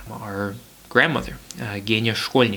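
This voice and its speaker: Over noticeable background noise, a man with an American accent talks at a fairly quick pace with ordinary pitch variation. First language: Russian. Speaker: podcast host. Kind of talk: family conversation.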